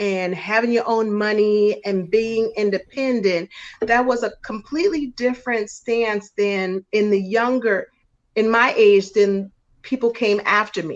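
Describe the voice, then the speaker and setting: A woman with an American accent and a plain, everyday voice speaks fairly slowly at a fairly high pitch with fairly even intonation. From New York. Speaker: guest commentator. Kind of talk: casual live-stream discussion.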